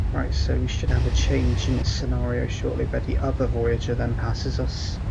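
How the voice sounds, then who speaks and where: Quiet and very even in loudness, a man with a very deep, low pitch talks at a moderate pace with fairly even intonation, amid noticeable background noise and audible room echo. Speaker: train simulator gaming YouTuber. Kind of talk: casual gameplay commentary chat. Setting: recording at home. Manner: quiet, voice kept low.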